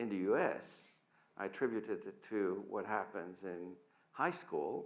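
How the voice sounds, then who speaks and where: A man with a Dutch accent speaks in a bright, sharp tone at a fairly low pitch, with audible room echo. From Netherlands. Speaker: physics professor. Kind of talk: lecture.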